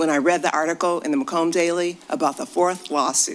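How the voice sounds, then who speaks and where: Over noticeable background noise, a woman with a fairly low voice speaks at a fairly quick pace. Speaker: public commenter, local resident. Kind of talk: public comment at board meeting. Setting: school board meeting.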